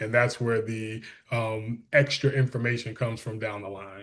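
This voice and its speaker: Against a quiet background, a man talks somewhat breathily at a fairly quick pace. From Detroit, Michigan. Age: 40s. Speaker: school superintendent. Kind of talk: interview. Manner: animated.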